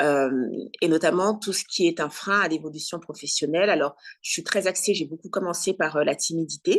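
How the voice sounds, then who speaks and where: This woman has a normal speaking voice, a fairly low pitch, fairly even intonation, and a moderate pace. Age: 40s. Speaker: career coach and journalist. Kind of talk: interview.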